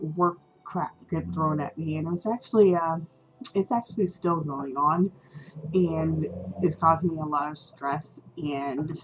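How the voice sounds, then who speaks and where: A woman at a very slow pace with ordinary pitch variation, music in the background. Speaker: doll hobbyist. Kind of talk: casual talk to camera.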